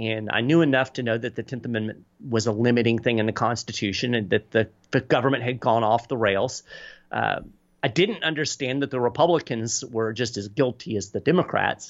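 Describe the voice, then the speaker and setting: A man with a normal speaking voice talks at a fairly quick pace, his medium pitch showing ordinary variation. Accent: American. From Kentucky, US. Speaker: political advocacy communications director and author. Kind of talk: podcast interview.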